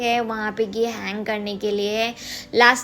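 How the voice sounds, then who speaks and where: A woman's fairly high, monotone voice with flat intonation over background music. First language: Bengali (speaking Hindi). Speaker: lifestyle vlogger. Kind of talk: casual vlog talk. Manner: hesitant, many fillers.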